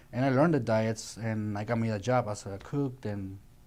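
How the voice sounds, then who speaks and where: A man's medium-pitched voice with ordinary pitch variation and a Colombian accent. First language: Spanish. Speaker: chef. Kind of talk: interview. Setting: studio. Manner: halting.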